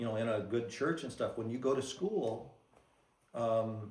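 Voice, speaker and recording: Through audible room echo, a man with a dark, mellow tone speaks fairly slowly at a medium pitch with ordinary pitch variation. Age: 70s. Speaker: church member giving testimony. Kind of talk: testimony. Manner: halting.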